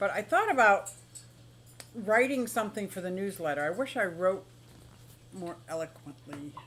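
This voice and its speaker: A woman speaks in an animated tone. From Pennsylvania, Philadelphia. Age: 60s. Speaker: aquarium and exotic pet streamer. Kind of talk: casual live stream chat. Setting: live stream.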